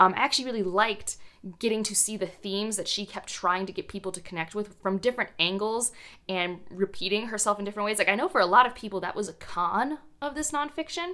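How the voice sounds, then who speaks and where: With a bright, sharp tone and lively intonation, a woman talks at a very fast pace. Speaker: book vlogger. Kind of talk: casual vlog chat. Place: home room.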